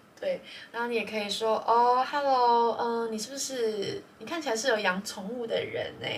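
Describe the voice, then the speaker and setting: With audible room echo and noticeable background noise, a woman with a fairly high pitch speaks at a moderate pace and ordinary pitch variation. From Taiwan. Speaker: podcast co-host. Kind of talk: casual chat.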